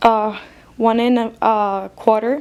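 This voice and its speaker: Against noticeable background noise, a woman speaks at a fairly high pitch with monotone, flat intonation. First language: not English. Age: student. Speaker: stationery haul youtuber. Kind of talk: casual product haul. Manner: hesitant, filler-heavy.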